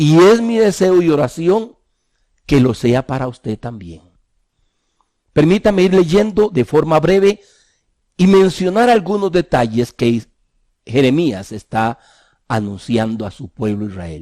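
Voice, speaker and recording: With a dark, mellow tone and very wide pitch swings, a man speaks at a fairly slow pace with long, frequent pauses, in a dry, close sound with no echo. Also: fairly high pitch for a man. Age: 60s. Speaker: pastor. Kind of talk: sermon.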